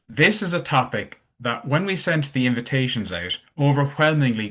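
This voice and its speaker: With an Irish accent, the speaker talks at a moderate pace over a quiet background. The intonation is lively. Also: man. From Ireland. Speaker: webinar host. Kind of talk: webinar interview.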